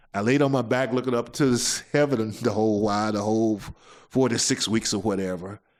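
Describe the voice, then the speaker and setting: A man with a Mississippi accent, ordinary pitch variation and a moderate pace, on a very clean recording with a silent background. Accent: Southern US (Mississippi). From US South. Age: 60s. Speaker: podcast host. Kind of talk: testimony. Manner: halting.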